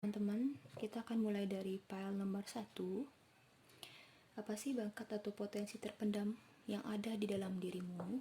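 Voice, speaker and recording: The voice is somewhat breathy, with a dark, mellow and relaxed tone. It moves at a moderate pace with fairly even intonation and very even loudness. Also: woman, medium pitch for a woman. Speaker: tarot reader. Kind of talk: tarot reading to camera. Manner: relaxed, casual.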